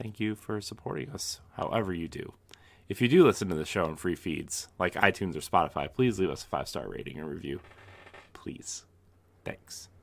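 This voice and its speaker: Whispering at a fairly quick pace, a man speaks with big swings in loudness. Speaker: podcast co-host. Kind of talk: casual podcast chat. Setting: home, kids asleep. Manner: quiet, low voice.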